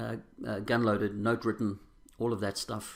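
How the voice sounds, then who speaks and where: Very fast talking comes from a man with a South African accent. His pitch is fairly low. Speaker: recovering alcoholic sharing his story. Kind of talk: testimony. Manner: halting.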